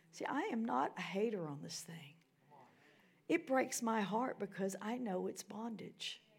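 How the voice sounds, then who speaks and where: With an American accent, a woman speaks fairly slowly at medium pitch with very wide pitch swings and big changes in loudness, over noticeable background noise. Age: 60s. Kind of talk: sermon. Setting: church.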